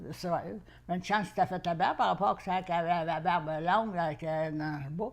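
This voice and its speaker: Talking at a fairly quick pace in a Quebec accent, a woman with a fairly low voice shows ordinary pitch variation. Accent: rural Quebec French. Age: 80s+. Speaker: grandmother. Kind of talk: interview answer, life story.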